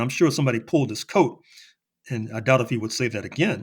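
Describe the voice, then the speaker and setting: Speaking very fast with an American accent, a man keeps to a medium pitch. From US. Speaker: historian. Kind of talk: podcast interview. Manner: halting with repetitions.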